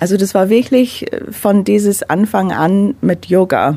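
Background noise is noticeable as a woman talks at a very slow pace. Her pitch is in the medium range. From London, England. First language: English (speaking German). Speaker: menstrual cycle coach. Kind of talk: radio interview. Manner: halting non-native German with fillers.

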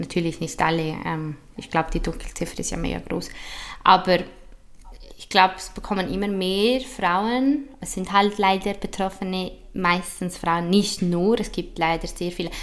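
At a fairly slow pace, a woman speaks with a fairly low pitch and big swings in loudness. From Switzerland. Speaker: influencer and activist. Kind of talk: interview.

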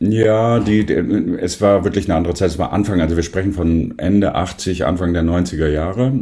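This man's very deep, low voice has a dark, mellow tone and a somewhat breathy quality, with ordinary pitch variation. He moves at a moderate pace with hardly any pauses. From northern Germany, near Bremen. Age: 50s. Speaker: photographer. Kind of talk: casual interview.

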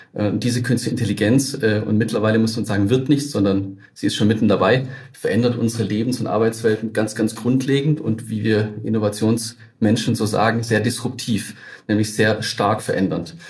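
Noticeable background noise sits behind this clip. A man speaks with fairly even intonation. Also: medium pitch for a man, moderate pace. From Baden-Württemberg, Tübingen. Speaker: innovation network manager, head of an AI park. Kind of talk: interview.

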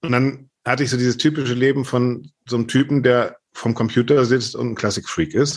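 Speaking at a moderate pace with hardly any pauses, a man uses a medium pitch. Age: 50s. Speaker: journalist and classical music podcaster. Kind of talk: interview. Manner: animated.

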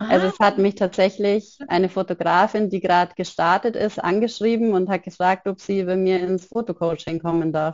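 This is a normal speaking voice at a moderate pace, with fairly even intonation and hardly any pauses. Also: woman, medium pitch for a woman. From Upper Bavaria, near Munich. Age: 30s. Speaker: photographer and single mother. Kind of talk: interview conversation.

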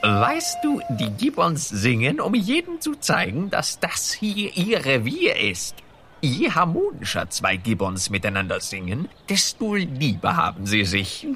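A croaky, put-on character voice at middle pitch moves at a fairly slow pace. Clear background noise runs underneath. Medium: audio drama. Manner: reassuring, knowing.

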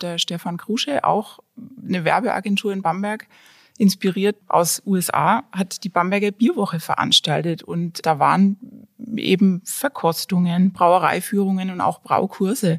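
A woman with a plain, everyday voice, at a fairly slow pace with ordinary pitch variation, dry and close with no echo, in a very clean recording with a silent background. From Franconia, Germany (small town near Nuremberg). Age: 40s. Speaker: designer and hobby brewer. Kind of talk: casual interview.

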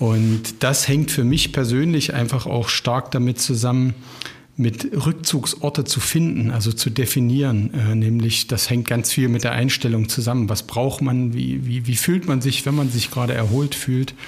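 A man speaks at a medium pitch and a moderate pace, in an ordinary speaking voice. His intonation is fairly even and his loudness very even. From Harz region, Germany (Ilsenburg). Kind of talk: casual conversation.

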